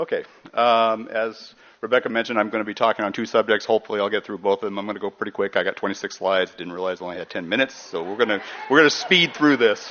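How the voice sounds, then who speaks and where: Music plays in the background as the voice speaks at a very fast pace with ordinary pitch variation. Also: man, fairly low pitch for a man. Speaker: environmental nonprofit executive director. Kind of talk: conference presentation.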